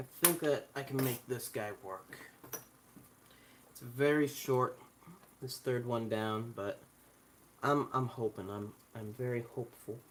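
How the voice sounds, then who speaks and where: A soft-spoken voice moves at a fairly slow pace with fairly even intonation, big swings in loudness, and long, frequent pauses amid noticeable background noise. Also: man, medium pitch for a man. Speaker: electronics hobbyist. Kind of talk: tutorial. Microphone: recorded voice too quiet.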